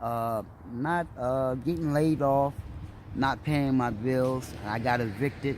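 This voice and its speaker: At a very slow pace, a man with an American accent and a medium pitch speaks with fairly even intonation. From Trenton, New Jersey. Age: 60s. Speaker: homeless man. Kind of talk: interview.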